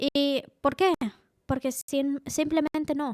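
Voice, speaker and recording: Her voice sits high in pitch. The woman sounds close and dry, with no echo. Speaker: tabletop role-playing game master and YouTuber. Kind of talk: improvised tutorial monologue. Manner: casual, with frequent filler sounds.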